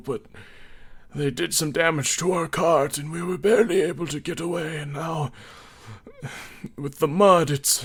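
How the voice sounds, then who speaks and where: A man uses a put-on character voice with a fairly high pitch and ordinary pitch variation, going at a moderate pace broken by long, frequent pauses. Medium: actual play.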